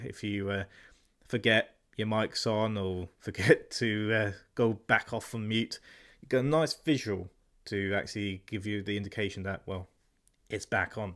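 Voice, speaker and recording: At a moderate pace, a man speaks in a fairly low pitch with fairly even intonation and long, frequent pauses. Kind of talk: product review.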